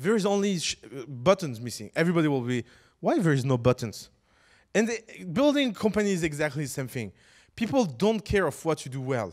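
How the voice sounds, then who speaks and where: Speaking with a non-native accent, a man sounds animated at a fairly high pitch with very wide pitch swings. The recording is very clean, with a silent background. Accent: foreign accent when speaking English. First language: French. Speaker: startup educator. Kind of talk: lecture.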